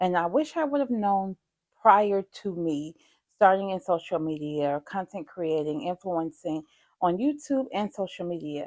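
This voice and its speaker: A woman with a normal speaking voice talks at a medium pitch and a fairly slow pace with lively intonation, in a very clean recording with a silent background and a dry, close sound with no echo. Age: 40s. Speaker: YouTuber. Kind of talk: tutorial. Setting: home.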